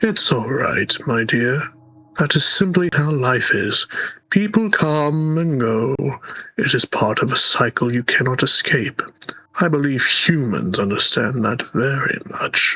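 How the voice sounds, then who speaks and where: A man puts on a character voice. It sits fairly high in pitch and moves at a fairly slow pace. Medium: game stream. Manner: courtly, theatrical.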